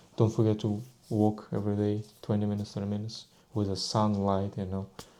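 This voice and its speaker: A man's very fast, fairly low-pitched delivery in a Russian accent, with monotone, flat intonation. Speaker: vlogger. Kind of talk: casual monologue. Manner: halting.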